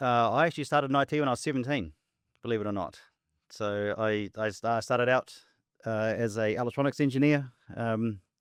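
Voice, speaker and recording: A man with a New Zealand accent at a fairly quick pace, with long, frequent pauses, over a quiet background. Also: medium pitch for a man, ordinary pitch variation. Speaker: tech company founder and CEO. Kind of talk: podcast interview. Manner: repetitive, hesitant with fillers.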